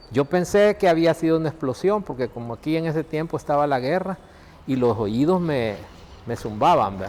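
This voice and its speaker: In a normal speaking voice, a man talks at a fairly quick pace with lively intonation and a fairly high pitch. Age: 60s. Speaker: seismic engineer. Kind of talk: documentary interview.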